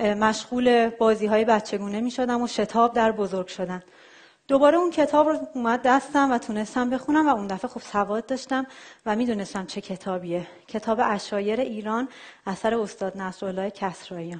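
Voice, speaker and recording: With an unremarkable speaking voice, a woman talks fairly quickly at a fairly high pitch and ordinary pitch variation. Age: 30s. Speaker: software engineer and traveler giving a talk.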